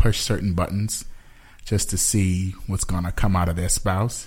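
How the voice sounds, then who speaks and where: With a very deep, low pitch, a man talks at a moderate pace in a somewhat breathy voice with fairly even intonation. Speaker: podcast co-host. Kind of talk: casual chat. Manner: direct.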